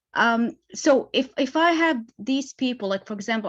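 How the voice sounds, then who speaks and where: A woman with an Arabic accent speaks at a moderate pace with lively intonation against a quiet background. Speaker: business owner. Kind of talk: Q&A.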